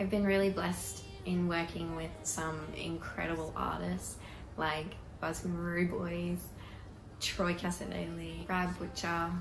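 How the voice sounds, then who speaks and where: Over music in the background, a woman with an Australian accent talks at a moderate pace with audible room echo. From Queensland, Australia (Rockhampton). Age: 20s. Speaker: country singer. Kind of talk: pre-recorded personal introduction.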